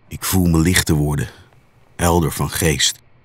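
Noticeable background noise sits under the speech. The pace is fairly slow and the intonation fairly even. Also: man. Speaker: spoken word artist. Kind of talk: spoken word poetry.

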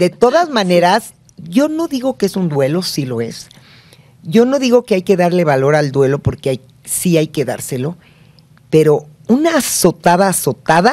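A woman's fairly low, dark and mellow voice, swinging very widely in pitch at a moderate pace. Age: 60s. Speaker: family expert and psychologist; guest. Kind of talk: interview. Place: studio. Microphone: studio mic.

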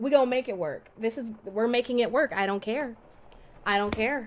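A woman with a fairly high pitch speaks at a moderate pace with ordinary pitch variation over light background noise. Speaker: voice actor. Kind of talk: casual let's play commentary. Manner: excited, upbeat. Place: home room. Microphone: studio mic.

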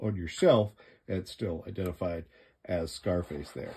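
A man talks at a fairly slow pace in a very deep, low, somewhat breathy voice with ordinary pitch variation. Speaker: toy reviewer. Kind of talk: product review commentary. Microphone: phone near.

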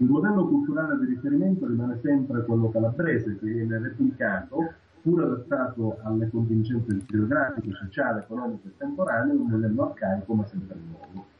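The speech comes at a fairly quick pace with ordinary pitch variation over noticeable background noise. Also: man, medium pitch for a man. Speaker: regional political association secretary. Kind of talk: political discussion. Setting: video call.

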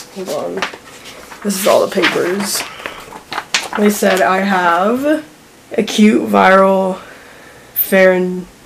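A woman speaks over noticeable background noise. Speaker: vlogger. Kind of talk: vlog. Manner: filler-heavy, halting.

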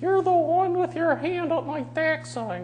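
A squeaky put-on character voice moves at a moderate pace over clear background noise. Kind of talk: tone of voice different from the speaker's own. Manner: ribald, crude, cranky.

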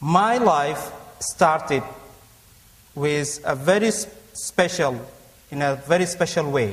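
At a very slow pace with long, frequent pauses, a man with a non-native accent speaks in a fairly high pitch and lively intonation. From Africa. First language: not English. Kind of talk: personal testimony in a debate. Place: church. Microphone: lapel.

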